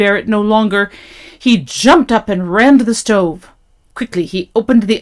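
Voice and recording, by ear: Pitch moves in an ordinary way as someone is reading aloud in a natural voice.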